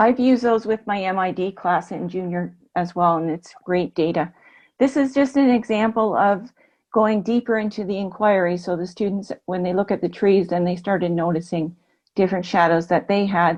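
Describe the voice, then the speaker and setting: Against a quiet background, a woman with an ordinary speaking voice and a Canadian accent speaks at a moderate pace, using medium pitch and ordinary pitch variation. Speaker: kindergarten teacher. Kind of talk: webinar presentation.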